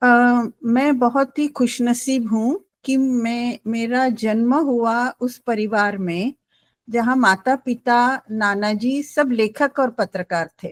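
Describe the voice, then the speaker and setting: A woman with a Gujarati accent speaks at a high pitch, the sound dry and close with no echo. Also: ordinary pitch variation. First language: Gujarati (speaking Hindi). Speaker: writer, poet and translator. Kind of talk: panel discussion interview. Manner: hesitant with fillers.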